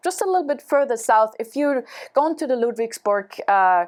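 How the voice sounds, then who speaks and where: In a very clean recording with a silent background, a woman with a German accent speaks at a high pitch with lively intonation. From Germany. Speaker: travel show guest. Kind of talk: casual interview. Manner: halting, many fillers.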